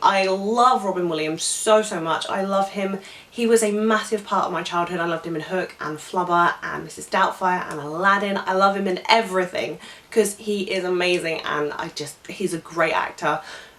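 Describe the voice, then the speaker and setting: Over noticeable background noise, someone with a British accent talks at a moderate pace with ordinary pitch variation. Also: woman, medium pitch for a woman. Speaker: film vlogger. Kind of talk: casual vlog monologue.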